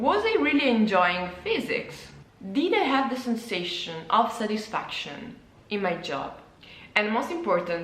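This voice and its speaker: Speaking at a fairly slow pace with an Italian accent, a woman makes very wide pitch swings over noticeable background noise and audible room echo. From Italy. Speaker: illustrator and former physicist, vlogger. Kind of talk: personal vlog monologue. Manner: halting, with repetitions and fillers.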